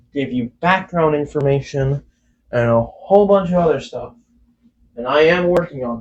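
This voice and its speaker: At a moderate pace, this somewhat breathy voice shows ordinary pitch variation. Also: man, fairly high pitch for a man. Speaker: YouTuber, game mod developer. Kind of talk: casual Q&A vlog. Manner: halting, self-correcting.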